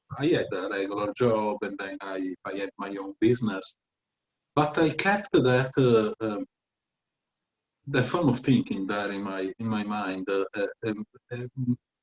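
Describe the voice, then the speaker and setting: The speaker has an Italian accent and ordinary pitch variation, moving at a fairly slow pace with long, frequent pauses. The sound is dry and close, with no echo. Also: man, medium pitch for a man. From Italy, Venice. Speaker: tutor and writer. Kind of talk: interview. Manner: halting, many fillers.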